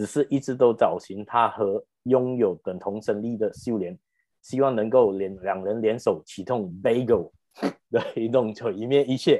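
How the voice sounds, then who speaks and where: A man with a normal speaking voice, medium pitch, fairly even intonation, and a fairly slow pace, over a quiet background. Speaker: podcast host. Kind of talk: casual chat; plot summary narration.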